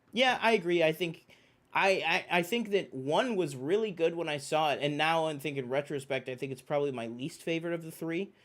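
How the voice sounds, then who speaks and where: A man with a fairly high pitch talks at a fairly quick pace in an animated tone with lively intonation, on a very clean recording with a silent background. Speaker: film and TV podcast host. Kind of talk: casual chat. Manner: fast.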